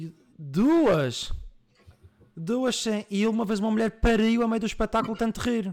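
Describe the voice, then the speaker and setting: In a Madeiran accent, a man talks at a high pitch with ordinary pitch variation, keeping a fairly slow pace broken by long, frequent pauses. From Madeira, Portugal. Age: 20s. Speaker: streamer and podcast host. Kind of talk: casual live-stream chat. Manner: animated.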